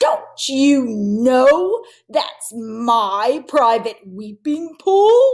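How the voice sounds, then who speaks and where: A woman speaks very slowly in a put-on character voice. Her pitch is high. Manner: angry.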